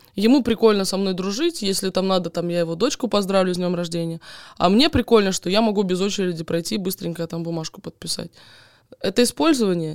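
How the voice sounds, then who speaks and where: A woman at a medium pitch and very fast pace, ordinary pitch variation, in a dry, close sound with no echo. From Donetsk region, Ukraine. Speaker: guest, blogger.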